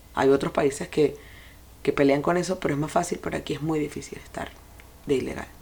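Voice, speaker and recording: A woman speaks at a very fast pace in a very deep, low pitch. Her intonation is fairly even, broken by long, frequent pauses. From Venezuela. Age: 40s. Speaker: podcast host, life and sex coach. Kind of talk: personal monologue.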